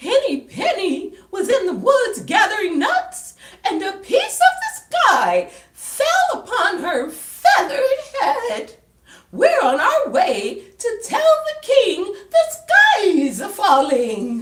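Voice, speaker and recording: At a very slow pace, a put-on character voice squeaks at an extremely high pitch with very wide pitch swings. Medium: read story.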